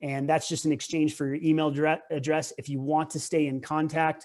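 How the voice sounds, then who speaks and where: A man speaks at a fairly quick pace in a fairly high pitch with flat, monotone intonation. The recording is very clean, with a silent background. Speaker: tennis coach. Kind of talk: presentation. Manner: fast.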